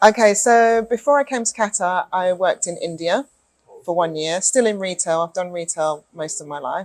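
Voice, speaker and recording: With a British accent, a woman speaks at a moderate pace and a medium pitch, her intonation lively. The sound is dry and close, with no echo. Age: 40s. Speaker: retail manager. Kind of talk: interview.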